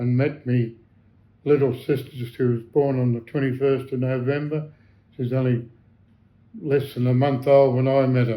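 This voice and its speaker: A man speaks at a moderate pace in a dark, mellow tone with monotone, flat intonation and long, frequent pauses. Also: medium pitch for a man. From Australia. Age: 80s+. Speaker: war veteran. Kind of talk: interview answer.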